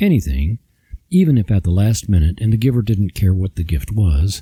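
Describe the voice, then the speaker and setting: A man speaks fairly quickly at a fairly low pitch, with lively intonation and a dark, mellow, somewhat breathy tone. The sound is dry and close with no echo. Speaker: podcast host. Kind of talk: devotional talk.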